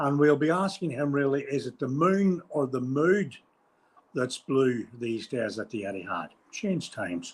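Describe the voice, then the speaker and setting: Lively intonation and a moderate pace in a man's fairly high-pitched voice. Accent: Northern Irish. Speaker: podcast host. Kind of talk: casual chat.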